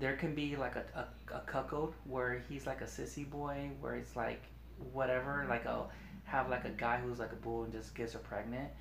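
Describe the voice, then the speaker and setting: There is noticeable background noise behind this voice. A man talks at a moderate pace. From Long Beach, California. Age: 30s. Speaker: superfan and grocery store worker. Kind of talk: casual chat. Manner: halting.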